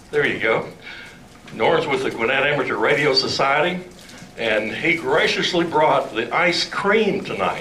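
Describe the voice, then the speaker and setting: A man at a fairly slow pace and very even loudness, with audible room echo and noticeable background noise. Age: old. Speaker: club president. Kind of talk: club meeting announcements. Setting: meeting hall with audience.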